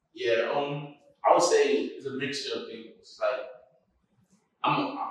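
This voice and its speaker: This is a man speaking. He has an American accent. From Brownsville, Brooklyn, New York City. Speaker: clothing brand founder and rapper. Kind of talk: interview answer. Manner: casual, conversational.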